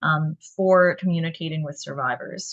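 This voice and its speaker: A woman's somewhat breathy voice, with ordinary pitch variation, sits over a quiet background. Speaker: community outreach specialist giving a talk. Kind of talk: educational presentation.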